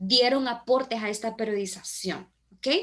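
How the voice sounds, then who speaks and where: Pitched fairly high, a woman's voice moves with ordinary pitch variation. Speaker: teacher. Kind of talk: online class lecture.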